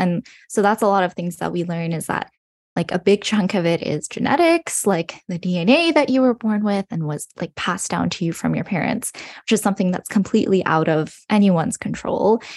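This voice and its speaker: A woman with a Western Canadian accent talks at a fairly quick pace with hardly any pauses, lively intonation and a medium pitch. The sound is dry and close with no echo. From British Columbia, Canada (Burnaby, Coquitlam). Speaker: medical student. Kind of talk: casual interview.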